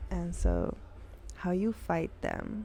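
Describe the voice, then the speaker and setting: Speaking very slowly, a soft-spoken woman keeps a calm tone. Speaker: spiritual channeler giving readings. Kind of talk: spiritual monologue to camera. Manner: soft, low volume.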